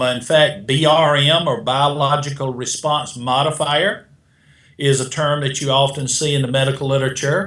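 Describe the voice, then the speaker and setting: In a South Carolina accent, a man talks at a moderate pace with a fairly high pitch and a bright, sharp tone. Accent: South Carolina twang. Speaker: beta glucan expert, supplement manufacturer. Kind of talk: interview answer.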